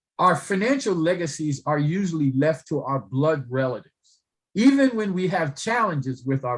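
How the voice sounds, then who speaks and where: At a moderate pace, a somewhat breathy voice speaks with lively intonation. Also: man. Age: 60s. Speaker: economist, social work professor. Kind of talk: panel discussion. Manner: halting, repetitive.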